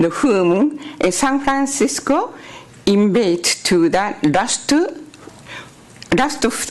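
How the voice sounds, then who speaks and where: A woman with a Japanese accent at a very slow pace, with very wide pitch swings, very even loudness, long, frequent pauses and noticeable background noise. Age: 80s+. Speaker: public commenter. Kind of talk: public comment at a meeting. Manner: halting.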